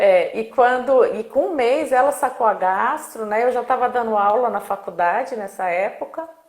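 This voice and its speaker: A woman with a high pitch speaks over noticeable background noise. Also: ordinary pitch variation, moderate pace, hardly any pauses. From Brazil. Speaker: speech therapist. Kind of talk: casual interview. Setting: live video stream.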